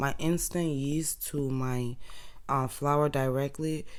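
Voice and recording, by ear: A woman speaks at a slow pace in an extremely low voice, keeping her intonation fairly even.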